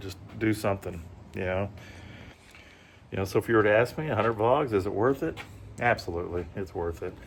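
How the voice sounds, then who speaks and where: A fairly quick, somewhat breathy delivery with an American accent, ordinary pitch variation, and long, frequent pauses. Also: man, fairly low pitch for a man. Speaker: vlogger. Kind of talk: casual vlog talk. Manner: hesitant, many fillers.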